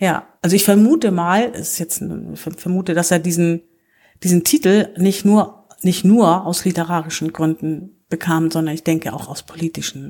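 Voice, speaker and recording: A woman's fairly low-pitched voice with a dark, mellow tone, ordinary pitch variation and a moderate pace. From northern Germany, Low German area. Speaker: volunteer representative, Low German poetry reader. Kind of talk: casual chat with poetry reading. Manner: halting.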